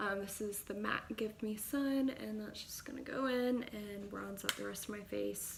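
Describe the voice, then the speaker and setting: Medium-pitched female voice, noticeable background noise behind it. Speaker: beauty vlogger. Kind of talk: makeup tutorial. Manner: casual, chatty.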